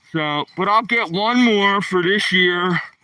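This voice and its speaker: A man with a Philadelphia accent speaks in a raised, projected voice. His pitch is high. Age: 60s. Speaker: live streamer. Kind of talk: casual vlog talk. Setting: outdoors on a walk. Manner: casual.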